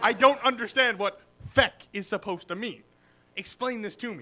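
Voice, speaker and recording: A man's raised, projected voice in an American accent, high-pitched with a bright, sharp tone and a moderate pace. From Boston, Massachusetts. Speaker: comedian. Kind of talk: stand-up. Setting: stage with audience at open mic.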